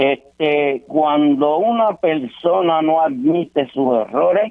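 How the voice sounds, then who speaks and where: With a Puerto Rican accent, a man talks in a fairly high pitch and lively intonation. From Puerto Rico, Santurce. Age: 80s+. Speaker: caller. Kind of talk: reading aloud own writing. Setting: phone call.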